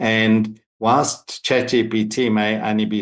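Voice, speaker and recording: A man speaks with a fairly low pitch and monotone, flat intonation. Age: 60s. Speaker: AI consultant, panel expert. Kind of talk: panel discussion.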